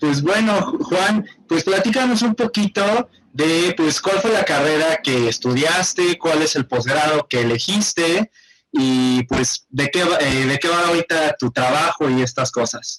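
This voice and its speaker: In a dry, close sound with no echo, a man speaks at a fairly slow pace with a fairly high pitch, lively intonation and very even loudness. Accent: central Mexican. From central Mexico. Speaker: podcast host. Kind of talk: casual podcast interview.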